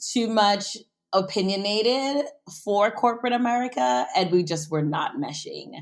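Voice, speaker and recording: A woman speaks with a slight West Indian accent. Her intonation is lively. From US Virgin Islands (St. Croix). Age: 30s. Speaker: food and travel entrepreneur. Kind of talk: interview. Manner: energetic.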